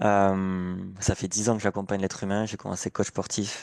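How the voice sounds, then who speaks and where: The speech runs at a fairly quick pace in a flat monotone, with a dry, close sound and no echo. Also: man. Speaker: coach and therapist. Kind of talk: self-introduction, casual. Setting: video call, at parents' home.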